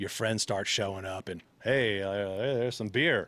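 A man with a plain, everyday voice talks at a moderate pace and a fairly low pitch. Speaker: musician guest. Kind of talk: casual banter chat.

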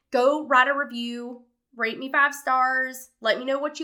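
A woman speaks in a high, bright, sharp voice, raised and projected with an animated tone. The recording is very clean with a silent background. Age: 20s. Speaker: health coach podcaster. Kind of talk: casual monologue.

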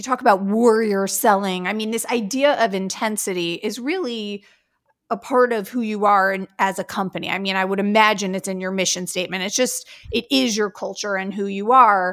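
This woman has a plain, everyday voice at a medium pitch. She speaks at a moderate pace with fairly even intonation. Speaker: podcast co-host. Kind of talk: casual podcast interview.

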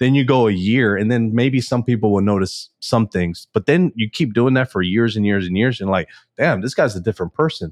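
In an American accent, a man with an ordinary speaking voice, medium pitch and ordinary pitch variation talks at a fairly quick pace with hardly any pauses and very even loudness, in a dry, close sound with no echo against a quiet background. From Texas, Houston. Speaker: entrepreneur. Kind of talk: podcast interview.

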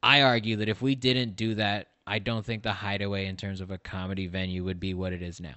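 A man in a normal speaking voice talks at a fairly quick pace and a fairly low pitch. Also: fairly even intonation. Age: 20s. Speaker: comedian and sound engineer. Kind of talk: casual chat.

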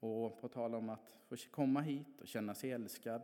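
A man with a dark, mellow tone talks at medium pitch with fairly even intonation. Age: 40s. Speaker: church member. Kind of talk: testimony.

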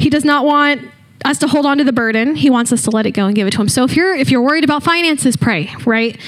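High-pitched woman's voice at a very fast pace, over noticeable background noise. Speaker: student leader preacher. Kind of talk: sermon. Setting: church.

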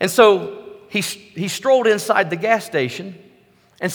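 Someone is reading aloud in a natural voice with ordinary pitch variation.

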